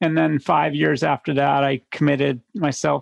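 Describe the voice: The pace is moderate. Vocal fry runs through the voice. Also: man.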